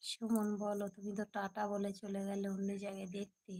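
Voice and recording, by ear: A woman speaks at a fairly quick pace in a medium pitch, her dark, mellow tone held in a monotone, flat intonation.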